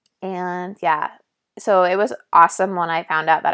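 Speaking at a moderate pace in a Canadian accent, a woman with a medium pitch keeps fairly even intonation on a very clean recording with a silent background. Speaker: nursing student and podcaster. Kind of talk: casual monologue. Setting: solo podcast recording.

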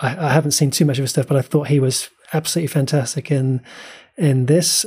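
A man speaks with a fairly high pitch and a dark, mellow tone. His voice is somewhat breathy. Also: very clean recording, silent background. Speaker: podcast co-host. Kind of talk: casual chat.

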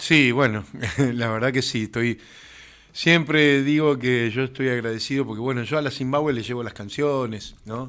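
Recorded very cleanly against a silent background, a man talks at medium pitch and moderate pace with fairly even intonation, a normal speaking voice. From Argentina, Mendoza. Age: 50s. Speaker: musician. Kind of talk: interview.

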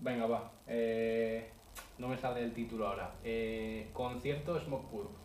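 With audible room echo and noticeable background noise, a man talks at a fairly slow pace and with fairly even intonation. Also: medium pitch for a man. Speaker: podcast co-host. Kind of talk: casual chat.

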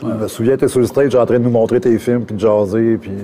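With a Quebec accent, a man speaks in fairly even intonation over noticeable background noise. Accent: Québécois French. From Quebec, Matane (Bas-Saint-Laurent). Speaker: visual artist and photographer. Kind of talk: casual chat.

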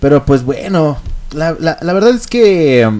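Here a man talks with a Mexican accent and lively intonation. His pitch is fairly high and his pace fairly slow. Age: 20s. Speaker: online radio host. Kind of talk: casual solo radio chat. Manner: hesitant, many fillers.

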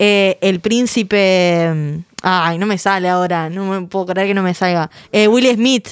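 In an unremarkable speaking voice, a woman talks at a fairly slow pace with a medium pitch and fairly even intonation. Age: 20s. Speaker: podcast host. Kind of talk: casual chat.

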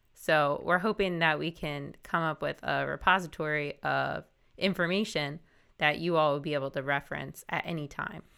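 A woman's very deep, low voice with vocal fry and a bright, sharp tone, moderate pace and fairly even intonation, very clean recording against a silent background. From South Jersey. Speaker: podcast co-host, works in higher education. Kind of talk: casual chat.

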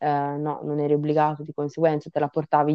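A woman speaks with a very deep, low pitch. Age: young. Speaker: podcast co-host, university student. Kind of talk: casual chat.

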